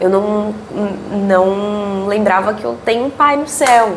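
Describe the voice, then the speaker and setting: With a Brazilian accent, a woman talks at a medium pitch with ordinary pitch variation, her voice carrying audible room echo over noticeable background noise. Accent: non-carioca Brazilian Portuguese. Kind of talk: Bible study teaching. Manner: casual, conversational.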